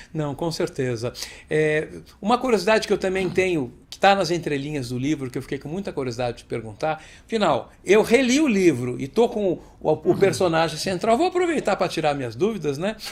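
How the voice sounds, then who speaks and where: Very wide pitch swings and a fairly quick pace come through on a very clean recording with a silent background. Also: man, high pitch for a man. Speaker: interviewer, show host. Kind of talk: interview question.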